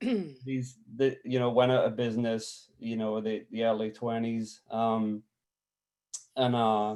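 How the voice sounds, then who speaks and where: Very slowly and in monotone, flat intonation, a man with a Scottish accent speaks at a medium pitch. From Scotland, village about twenty miles southeast of Glasgow. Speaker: photographer. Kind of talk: artist talk presentation. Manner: halting with many fillers.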